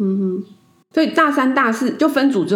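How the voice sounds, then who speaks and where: Vocal fry runs through a woman's speech at a fairly quick pace. Her pitch swings very widely. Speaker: podcast host. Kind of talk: casual chat.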